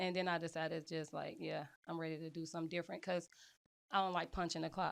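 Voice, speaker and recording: In a very clean recording with a silent background, a woman with a fairly low voice talks at a fairly quick pace in a monotone, flat intonation. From Chicago, West Side. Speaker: real estate agent. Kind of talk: casual interview.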